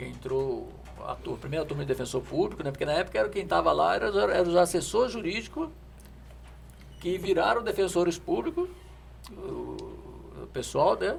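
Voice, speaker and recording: With noticeable background noise, a man talks at a moderate pace with long, frequent pauses. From Brazil, Rio de Janeiro. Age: 60s. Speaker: former government official. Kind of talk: podcast interview.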